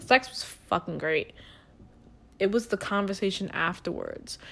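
Speaking with a New York accent in an animated tone, a woman uses a medium pitch with ordinary pitch variation at a moderate pace. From the Bronx, New York. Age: 20s. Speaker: podcast host. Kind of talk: casual chat, comedic rant. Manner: animated, brash.

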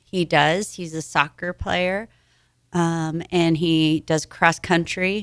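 A woman with a Midwestern US accent at a fairly low pitch, very slow pace and monotone, flat intonation. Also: very clean recording, silent background. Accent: US Midwest. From Nebraska (Hastings). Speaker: gym member, breast cancer survivor. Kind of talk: radio interview. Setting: radio studio.

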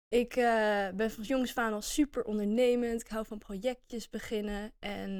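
The recording is very clean with a silent background. A woman uses a plain, everyday voice, fairly high in pitch, with fairly even intonation. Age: 20s. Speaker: podcast co-host, business student. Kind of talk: casual chat.

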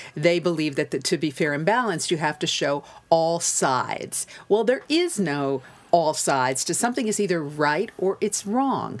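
A woman with an American accent and a fairly low pitch talks at a moderate pace in an ordinary speaking voice, on a very clean recording with a silent background. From United States. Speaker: broadcaster and entrepreneur. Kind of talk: casual chat.

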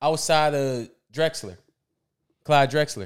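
Someone with an American accent speaks at a fairly slow pace on a very clean recording with a silent background. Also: man. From Philadelphia, US. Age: 30s. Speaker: basketball fan guest. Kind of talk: casual chat.

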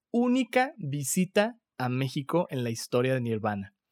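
The sound is dry and close with no echo as a man speaks at a fairly slow pace in a very clean recording with a silent background. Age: 30s. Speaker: podcast host. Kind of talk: casual chat. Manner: animated.

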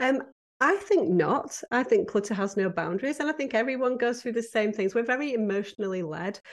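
A woman with a British accent talks at a fairly quick pace. Her fairly high voice swings very widely in pitch. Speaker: professional home organizer. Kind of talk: casual interview.

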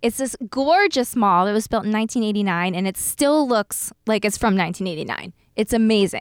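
A woman with a normal speaking voice in an American accent, fairly high pitch and ordinary pitch variation, at a fairly quick pace with hardly any pauses, in a dry, close sound with no echo and a very clean recording, silent background. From South Jersey, US Northeast. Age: 30s. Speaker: former media producer, haunted house operator. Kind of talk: casual chat.

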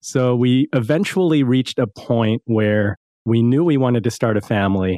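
A man with an American accent has an unremarkable speaking voice at medium pitch for a man. His pitch variation is ordinary. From US East Coast. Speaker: financial advisor and podcast host. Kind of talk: interview.

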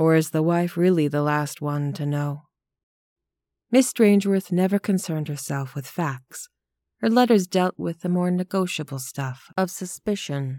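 A woman speaks at a moderate pace in a dark, mellow tone, fairly low in pitch with ordinary variation. The sound is dry and close with no echo, on a very clean recording with a silent background. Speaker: solo narrator reading a short story aloud. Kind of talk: dramatic narration of a literary short story, read aloud. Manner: measured and hushed, building quiet menace; shifts into prim, sweet voices for dialogue.

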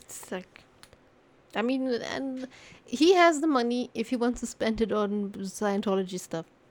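A woman speaks in a plain, everyday voice at a fairly high pitch. Her intonation is lively and her pace fairly slow. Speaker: streamer, co-host. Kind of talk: casual chat, podcast recording.

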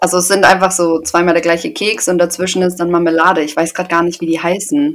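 Very fast speech with lively intonation over noticeable background noise. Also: woman. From Germany, Paderborn (Westphalia). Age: 20s. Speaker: podcast co-host, trainee. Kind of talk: casual chat.

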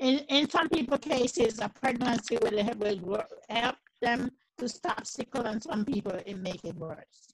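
Lively intonation marks a woman's somewhat breathy voice. She speaks at a fairly slow pace. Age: 60s. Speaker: host's mother, heart disease patient. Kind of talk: casual interview. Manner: halting.

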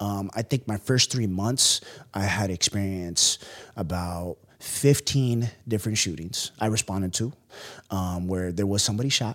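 A man with an American accent and an unremarkable speaking voice, fairly low in pitch, with ordinary pitch variation and a moderate pace, on a very clean recording with a silent background. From US West Coast, San Francisco. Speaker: entrepreneur, former police officer. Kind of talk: casual interview.

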